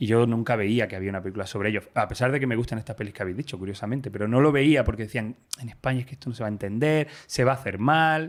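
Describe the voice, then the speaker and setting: This man talks very fast at a medium pitch, with hardly any pauses. His pitch varies in an ordinary way. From Granada, Andalusia, Spain. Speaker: screenwriter. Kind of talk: interview. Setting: library in Madrid.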